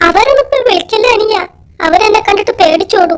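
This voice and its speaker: At a moderate pace, a cartoonish character voice speaks at an extremely high pitch. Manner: gentle, friendly.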